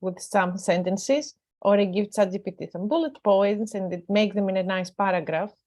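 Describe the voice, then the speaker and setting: A woman at a medium pitch speaks at a moderate pace. She has a non-native accent. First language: not English. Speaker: academic. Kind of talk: panel discussion.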